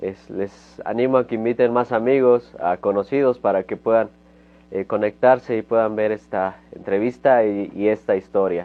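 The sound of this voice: A man speaks at a moderate pace with a fairly low pitch. His intonation is fairly even.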